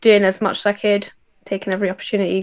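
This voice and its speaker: This woman has a fairly high pitch. She speaks with a Scottish accent. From west of Scotland. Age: 20s. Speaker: outdoor instructor. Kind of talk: interview.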